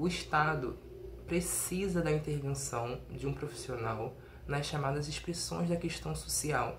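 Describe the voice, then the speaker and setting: A man speaks fairly slowly, with audible room echo and noticeable background noise around him. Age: 20s. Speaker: undergraduate researcher. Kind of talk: recorded conference presentation. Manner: some hesitations and self-corrections.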